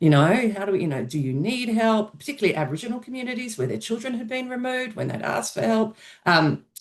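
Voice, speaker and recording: Someone with an Australian accent talks at a very fast pace. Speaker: researcher. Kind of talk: research presentation.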